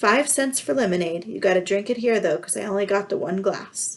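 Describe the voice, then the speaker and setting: A woman uses a put-on character voice that is raspy and medium in pitch. She talks at a fairly quick pace. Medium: read story. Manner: casual, clipped street talk.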